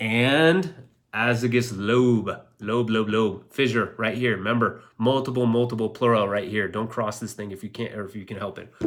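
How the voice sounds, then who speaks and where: On a very clean recording with a silent background, a man with an animated tone speaks at a medium pitch and a moderate pace, with big swings in loudness. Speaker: radiologist teaching online. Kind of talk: live teaching session.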